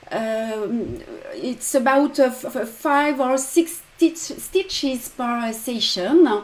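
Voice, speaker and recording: Very slowly and with a French accent, a woman talks in a high pitch with ordinary pitch variation. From France. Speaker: embroidery designer and teacher. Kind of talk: tutorial. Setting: live stream. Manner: halting with many fillers.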